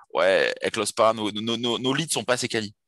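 At a very fast pace, a man with a medium pitch talks in an enthusiastic tone with lively intonation against a quiet background. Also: dry, close sound with no echo. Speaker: dating coach. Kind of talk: interview conversation.

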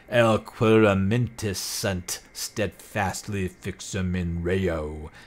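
In a put-on character voice, a man booms at a very deep, low pitch, speaking at a very slow pace with fairly even intonation. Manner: solemn, serious.

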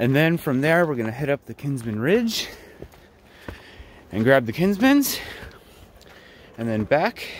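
A man speaks at a fairly slow pace, his pitch swinging very widely. The sound is dry with no echo, over light background noise. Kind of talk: casual vlog chat. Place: forest. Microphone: phone near.

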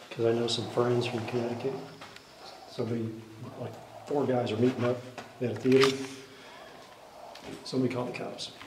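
A flat, monotone delivery at a fairly quick pace over noticeable background noise. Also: man. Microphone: phone near.

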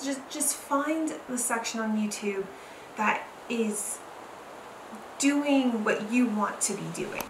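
The pace is very slow, with ordinary pitch variation. Noticeable background noise runs underneath. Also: woman. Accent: American. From Southern California. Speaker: YouTuber. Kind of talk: vlog tutorial. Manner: halting, filler-heavy. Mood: calm, earnest. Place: home room.

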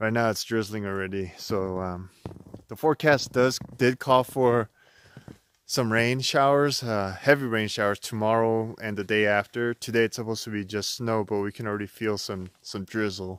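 A man talks in an ordinary speaking voice at a moderate pace with fairly even intonation. The sound is dry with no echo over a quiet background. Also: fairly low pitch for a man. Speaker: backpacking vlogger. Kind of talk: casual vlog chat. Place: forest. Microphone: phone near.

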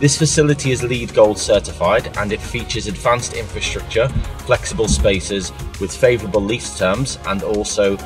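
A man speaks at a moderate pace with clear music in the background. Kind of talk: promotional presentation. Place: car. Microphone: lapel.

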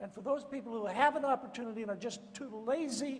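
At a moderate pace, a man speaks while light noise sits in the background. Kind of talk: public address answering questions.

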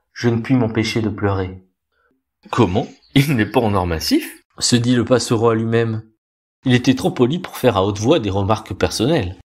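On a very clean recording with a silent background, a somewhat breathy man with a medium pitch uses a theatrical tone, ordinary pitch variation, a moderate pace, and long, frequent pauses. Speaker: storyteller reading a tale aloud. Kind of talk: dramatic narration of a fairy tale, with character voices. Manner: expressive and theatrical, changing voice for each character.

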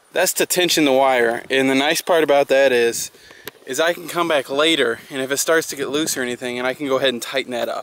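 Talking at a very fast pace with fairly even intonation, a man comes through in a dry sound with no echo and light background noise. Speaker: farmer vlogger. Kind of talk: tutorial. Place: farm. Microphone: phone near.

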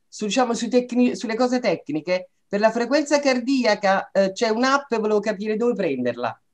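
A woman talks at a moderate pace with hardly any pauses. The background is quiet. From Italy. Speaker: patient. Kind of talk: testimony. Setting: video call. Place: home room. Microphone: video call.

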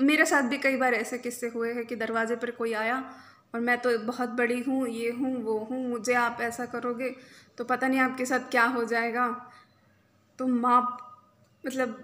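A woman speaks at a high pitch with a bright, sharp tone and monotone, flat intonation. She goes at a fairly slow pace with long, frequent pauses. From India. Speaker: reiki healer and spiritual coach; spiritual coach. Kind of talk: spiritual talk to camera. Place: home room. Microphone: phone near.

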